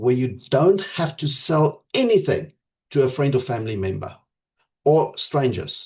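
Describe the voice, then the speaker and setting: Speaking at a fairly slow pace, a man with a fairly high pitch has a dark, mellow, somewhat breathy tone and lively intonation. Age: 50s. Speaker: network marketing leader. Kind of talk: motivational pitch to members.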